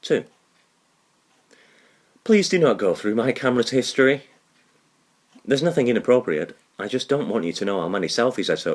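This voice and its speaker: A man at a medium pitch, fairly quick pace, vocal fry, very wide pitch swings, and long, frequent pauses. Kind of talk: reading of quotes and jokes.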